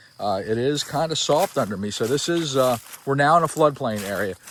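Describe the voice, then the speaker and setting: Noticeable background noise sits under the speech. The delivery is moderately paced, with ordinary pitch variation. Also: man. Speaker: realtor. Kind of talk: property tour video. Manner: casual, hesitant fillers.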